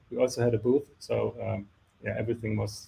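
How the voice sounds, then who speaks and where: Speaking at a fairly quick pace, a man uses flat, monotone intonation with vocal fry. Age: 40s. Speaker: telecom company executive. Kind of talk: panel discussion.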